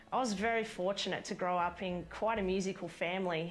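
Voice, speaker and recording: In an Australian accent, a woman talks at a medium pitch and a fairly quick pace with fairly even intonation. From central west New South Wales, Australia. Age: 20s. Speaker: country singer-songwriter. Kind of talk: scripted intro video.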